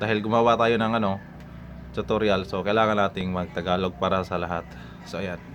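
Pitch moves in an ordinary way. The words come fairly quickly. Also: man, fairly low pitch for a man. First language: Cebuano (Bisaya) (speaking Tagalog). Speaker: YouTuber. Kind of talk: casual vlog talk to viewers. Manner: halting, many fillers.

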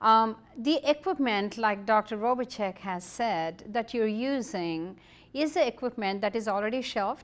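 A woman with a fairly high pitch talks at a fairly slow pace, her intonation lively. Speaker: TV show host. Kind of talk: interview. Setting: studio. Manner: animated. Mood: warm, curious, animated. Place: home room.

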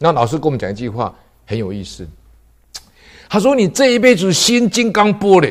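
Against a quiet background, a man talks at a fairly quick pace with long, frequent pauses, very wide pitch swings and big swings in loudness. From Taiwan. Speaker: police officer and Buddhist lecturer; lay Buddhist storyteller. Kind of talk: lecture; Buddhist talk telling a story. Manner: frequent filler particles. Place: studio.

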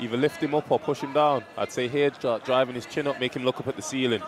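A man at a fairly quick pace, dry sound with no echo, noticeable background noise. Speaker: MMA co-commentator. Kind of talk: live commentary. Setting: live event cageside. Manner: excitable. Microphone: headset.

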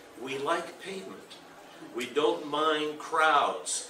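A man with a fairly high pitch amid noticeable background noise. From Argentina. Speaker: urban planning speaker. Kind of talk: conference talk. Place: hall. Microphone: podium.

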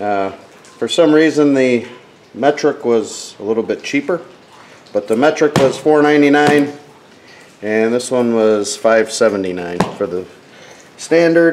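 A man speaks at a very slow pace, with long, frequent pauses. Light background noise sits behind him. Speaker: hobbyist reviewer. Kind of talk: casual haul vlog chat. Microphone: phone near.

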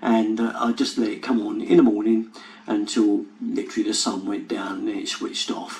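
A man talks at a moderate pace. Faint music plays in the background. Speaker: plumber channel host. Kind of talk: casual tutorial intro. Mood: cheerful, laughs. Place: home room.

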